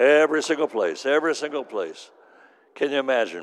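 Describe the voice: At a fairly quick pace, a man speaks in a medium pitch that moves in big swings.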